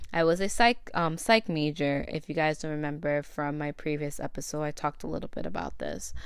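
Speaking at a fairly quick pace, a woman with a very deep, low pitch and ordinary pitch variation comes through in a very clean recording with a silent background. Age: 20s. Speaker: podcast host. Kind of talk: casual monologue. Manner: filler-heavy.

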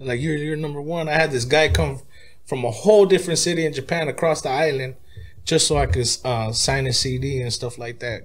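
A man with an American accent talks at a fairly quick pace. His pitch is fairly high and somewhat breathy. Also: ordinary pitch variation. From Oxnard, California. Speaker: rapper. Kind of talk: casual interview.

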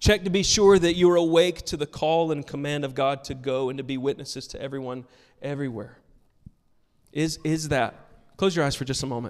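At a fairly quick pace, a man talks in a plain, everyday voice with ordinary pitch variation. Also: fairly high pitch for a man. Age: 40s. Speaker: pastor. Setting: church with congregation. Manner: casual and conversational with frequent ums and repeated words.

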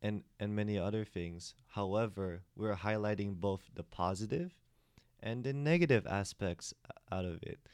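This man has a fairly low pitch and ordinary pitch variation. He speaks at a moderate pace. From Philippines. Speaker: podcast host and student discussant. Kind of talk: casual panel discussion.

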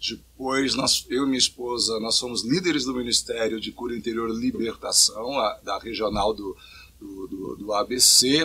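A man speaks with an unremarkable speaking voice at a fairly slow pace. His pitch sits in the medium range. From São Paulo state, Brazil (São Bernardo do Campo). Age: 40s. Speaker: pastor. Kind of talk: casual interview.

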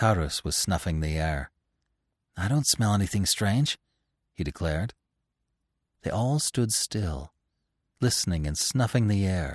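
A man speaks at a fairly slow pace with lively intonation and long, frequent pauses, in a dry, close sound with no echo on a very clean recording with a silent background. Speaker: audiobook narrator and podcast host. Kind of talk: literary audiobook reading, narrating a forest tale with dialogue voiced for the animals. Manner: steady, storyteller's pacing with suspense building as the animals listen; expressive, shifts tone between characters' quoted lines and narration.

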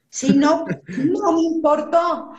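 This is a woman's voice. Audible room echo surrounds it. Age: 40s. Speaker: model and fitness competitor. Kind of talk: casual chat.

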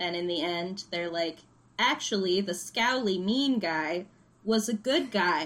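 This is an ordinary speaking voice. The woman's pitch sits in the medium range and varies in an ordinary way. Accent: American. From Arizona, US. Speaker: podcast co-host, manga reviewer. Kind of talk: casual chat.

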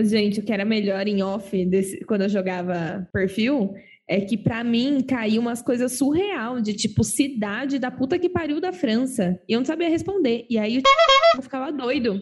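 A woman speaks at a moderate pace in a normal speaking voice, her fairly high pitch carried by lively intonation. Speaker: podcast co-host. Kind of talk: casual chat.

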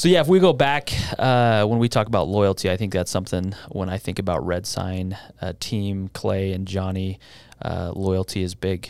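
A man with a very deep, low pitch speaks at a moderate pace with ordinary pitch variation, captured in a very clean recording with a silent background. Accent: American. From Utah, West Valley. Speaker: real estate sales director. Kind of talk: casual interview.

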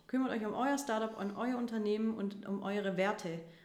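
A woman's voice at a moderate pace with ordinary pitch variation and audible room echo. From Stuttgart, Germany. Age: 20s. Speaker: startup co-founder. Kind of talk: interview.

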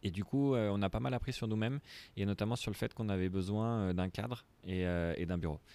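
Over a very clean recording with a silent background, a man with a dark, mellow tone talks at a fairly quick pace with ordinary pitch variation. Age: 20s. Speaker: startup founder. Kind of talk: interview. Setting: coworking space.

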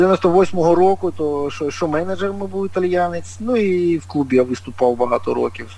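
Over noticeable background noise, the voice swings very widely in pitch at a moderate pace, with hardly any pauses. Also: man, fairly high pitch for a man. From Ukraine, Dnipro. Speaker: retired long-distance runner. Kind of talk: interview. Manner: halting.

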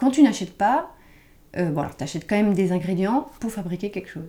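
Somewhat breathy and dark, mellow in tone, a woman's medium-pitched voice moves at a moderate pace through very wide pitch swings, with long, frequent pauses. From Paris. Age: 30s. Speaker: sustainability activist. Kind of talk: casual interview. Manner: hesitant, many fillers.

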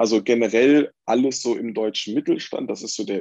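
A man talks at a moderate pace with ordinary pitch variation. His tone is dark and mellow, and the background is quiet. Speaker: student entrepreneur. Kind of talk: interview.

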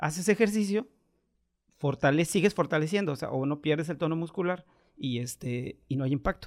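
The recording is very clean, with a silent background. A man talks at a moderate pace in a high pitch with ordinary pitch variation. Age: 50s. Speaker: amateur cyclist and human rights commission worker. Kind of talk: casual interview.

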